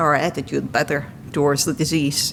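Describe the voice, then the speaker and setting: A woman speaks with a Bulgarian accent. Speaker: patient speaker. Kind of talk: testimony.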